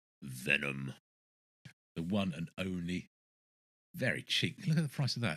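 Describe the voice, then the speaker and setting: With an English accent, a man speaks at a moderate pace in a very deep, low pitch, his pitch swinging very widely. Long, frequent pauses break up his speech, and his loudness shifts in big swings. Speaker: record collector youtuber. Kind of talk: casual show-and-tell of records. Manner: halting, many fillers; enthusiastic.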